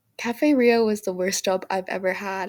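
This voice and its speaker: On a very clean recording with a silent background, a woman with an unremarkable speaking voice talks at medium pitch and a moderate pace, her intonation fairly even. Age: 20s. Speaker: budgeting vlogger, college student. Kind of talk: casual vlog. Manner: chatty, filler-heavy.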